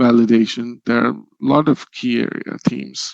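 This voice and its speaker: A man at a fairly slow pace, with a dry, close sound with no echo. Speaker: presenter on regulatory inspection. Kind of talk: Q&A after a webinar presentation. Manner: halting, many fillers.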